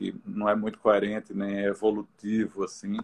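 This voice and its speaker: At a fairly slow pace, a man speaks. His pitch is fairly low. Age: 60s. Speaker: visual artist. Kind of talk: interview in a live stream. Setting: live video stream. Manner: halting, many repetitions.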